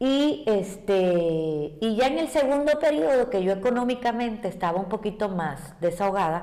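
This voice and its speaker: A woman with a dark, mellow tone speaks with very wide pitch swings and hardly any pauses. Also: medium pitch for a woman, moderate pace. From Cuba. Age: 60s. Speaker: ballet teacher. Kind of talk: interview.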